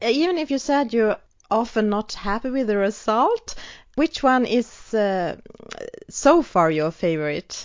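Speaking at a fairly slow pace, a woman with a fairly high pitch makes very wide pitch swings. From Sweden. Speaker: podcast host. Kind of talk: scripted announcement; interview conversation.

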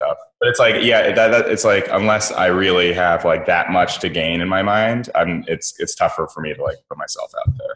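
A man speaks at a fairly quick pace with hardly any pauses. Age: 20s. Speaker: comedian. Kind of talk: casual chat. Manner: halting.

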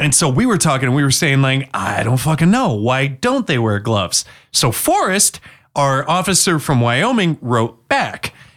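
A man with an unremarkable speaking voice talks at a moderate pace, fairly high in pitch, with lively intonation. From Washington State. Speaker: podcast co-host. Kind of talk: casual chat.

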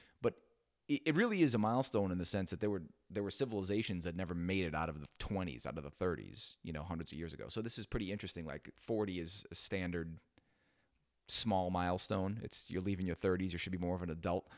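A man with a very deep, low pitch speaks very fast with ordinary pitch variation. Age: 40s. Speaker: podcast host. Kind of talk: casual monologue. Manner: casual with fillers.

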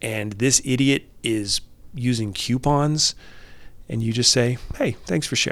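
A man with a normal speaking voice, medium pitch and fairly even intonation, in a very clean recording with a silent background. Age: 40s. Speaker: life coach and former therapist. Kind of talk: casual interview conversation.

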